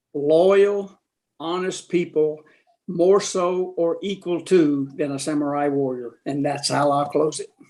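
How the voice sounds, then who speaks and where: A man with a fairly high pitch and a dark, mellow tone talks at a fairly slow pace with fairly even intonation. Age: 70s. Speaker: retired corporate executive, investor. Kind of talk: testimonial.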